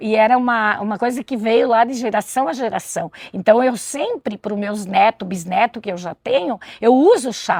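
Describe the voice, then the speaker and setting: Lively in intonation, a high-pitched woman keeps to a moderate pace. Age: 60s. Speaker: community medicinal garden volunteer. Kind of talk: interview.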